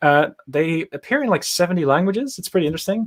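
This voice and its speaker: On a very clean recording with a silent background, a man with a Dutch accent talks at a fairly quick pace with lively intonation. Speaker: machine learning engineer. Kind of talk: casual interview on a livestream. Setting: live video stream.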